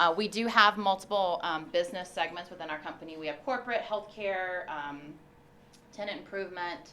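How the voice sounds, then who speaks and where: A woman speaks very fast with lively intonation in an American accent, with audible room echo and noticeable background noise. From US South, Memphis, Tennessee. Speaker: construction executive. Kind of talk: guest lecture.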